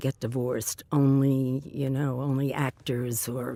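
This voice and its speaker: A woman's very deep, low voice with a dark, mellow tone and a New York accent. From New York City (the Bronx). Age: 70s. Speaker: interviewee telling her life story. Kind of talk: oral history interview. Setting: recording booth in a train station. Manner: halting, many fillers.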